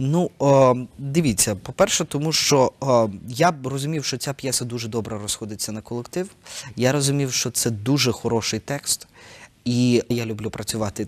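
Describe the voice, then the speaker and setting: This man's pitch varies in an ordinary way as he speaks at a moderate speed. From eastern Ukraine (Kharkiv); Ukraine. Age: 30s. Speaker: theatre director; guest. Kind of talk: interview; interview answer. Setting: studio. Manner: hesitant, many filler sounds. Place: studio. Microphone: lapel.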